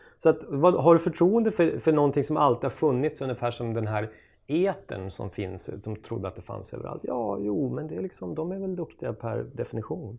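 A man talks at medium pitch with vocal fry and very wide pitch swings. His loudness swings widely, and he hardly pauses. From Sweden, Jämtland (Östersund). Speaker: journalist and author. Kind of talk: casual interview chat.

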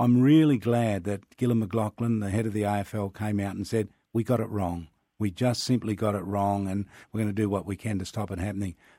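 In a very clean recording with a silent background, a man talks at a fairly quick pace in a fairly low pitch with a dark, mellow tone. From Northern Territory, Australia. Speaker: sports broadcaster. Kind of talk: interview.

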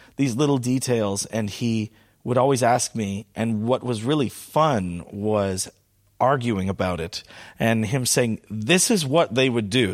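In a very clean recording with a silent background, a man talks at a moderate pace with ordinary pitch variation and a normal speaking voice. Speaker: musician. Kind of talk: casual interview conversation. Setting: in Scotland.

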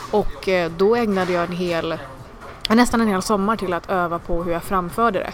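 Background noise is clearly audible. The speech keeps a fairly even intonation. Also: woman, medium pitch for a woman. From Sweden (adopted from India as infant). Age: 20s. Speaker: comedian. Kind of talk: interview. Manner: fast.

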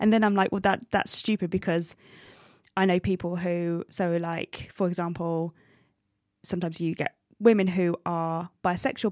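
With an English accent, a woman speaks at a moderate pace and a fairly low pitch with fairly even intonation, in a very clean, silent recording with a dry, close sound and no echo. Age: 30s. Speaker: stand-up comedian. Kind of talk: casual interview. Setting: studio.

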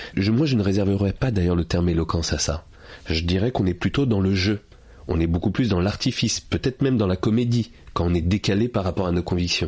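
A man speaks fairly quickly with a very deep, low pitch. His voice is somewhat breathy, with ordinary pitch variation. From France, Paris suburbs. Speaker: author and public speaking trainer. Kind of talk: interview.

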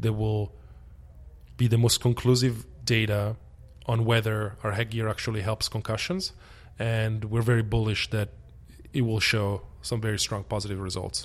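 A man with a slight Italian accent speaks at a medium pitch and a moderate pace. His voice is somewhat breathy, with fairly even intonation. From Italy. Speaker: sports company founder. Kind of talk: interview.

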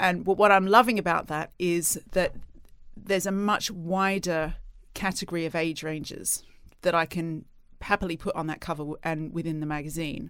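A woman speaks in a plain, everyday voice, fairly low in pitch, with fairly even intonation and a moderate pace, on a very clean recording with a silent background. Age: 40s. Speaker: magazine editor. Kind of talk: casual interview.

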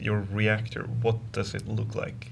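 Somewhat breathy, a man with a Swedish accent speaks at a medium pitch and a very slow pace. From Sweden. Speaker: podcast host. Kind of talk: interview. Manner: halting.

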